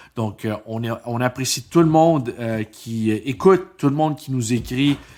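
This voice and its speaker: A man's medium-pitched voice, with ordinary pitch variation, moves at a fairly slow pace. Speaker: podcast co-host. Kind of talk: casual chat.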